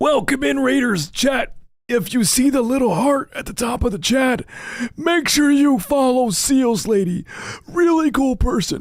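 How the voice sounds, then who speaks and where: The voice sounds strained and moves at a fairly slow pace. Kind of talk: streamer greeting chat. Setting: live stream. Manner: forced, strained.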